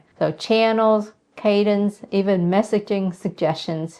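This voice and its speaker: Against a quiet background, a woman with a non-native accent talks at a very slow pace, at medium pitch with ordinary pitch variation. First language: not English. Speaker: real estate investor and channel host. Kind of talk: casual tutorial to camera. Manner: direct.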